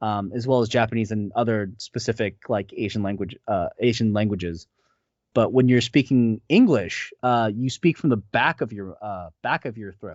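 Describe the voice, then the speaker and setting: Speaking at a moderate pace in a normal speaking voice, a man with an American accent shows ordinary pitch variation and big swings in loudness. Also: medium pitch for a man. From California, Bay Area. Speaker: voice actor. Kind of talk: interview.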